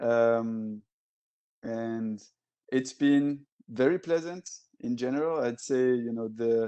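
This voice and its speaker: Using a French accent, a man speaks at a very slow pace with long, frequent pauses. His pitch is medium, with ordinary variation. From Belgium, Brussels. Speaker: tech alliances director. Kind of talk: casual interview chat. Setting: podcast recording.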